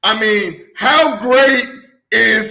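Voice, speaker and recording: Speaking at a very slow pace in an American accent, a man raises and projects an extremely high, bright, sharp voice while the room echoes audibly. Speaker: sports show host. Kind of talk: sports talk show. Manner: loud; excited, animated.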